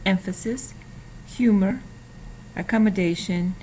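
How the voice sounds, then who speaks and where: A woman's voice has a dark, mellow tone, somewhat breathy, with fairly even intonation. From Mexico, Jalpa, Zacatecas. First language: Spanish. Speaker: graduate student. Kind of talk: student presentation. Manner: hesitant, with fillers.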